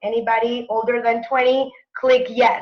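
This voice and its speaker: With a Spanish accent, a woman talks at a moderate pace in a high voice. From Mexico City. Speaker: network marketing presenter. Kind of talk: sales webinar presentation. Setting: online webinar.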